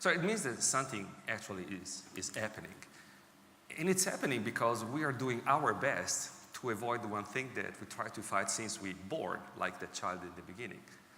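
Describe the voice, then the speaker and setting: A man speaks at a medium pitch with an Italian accent and lively intonation. There is audible room echo along with noticeable background noise. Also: moderate pace. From Italy. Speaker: technology executive speaking on healthy ageing. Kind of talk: conference talk. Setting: stage with audience.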